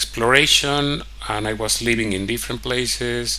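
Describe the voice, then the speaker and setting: A man with a Spanish accent at a fairly slow pace, amid noticeable background noise and audible room echo. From Mexico. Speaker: vlogger. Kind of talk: personal storytelling monologue. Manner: halting, many fillers.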